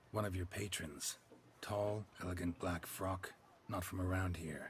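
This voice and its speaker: Over clear background noise, a man uses a put-on character voice pitched very deep and low. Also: moderate pace. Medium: video game. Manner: clipped, dry, laconic.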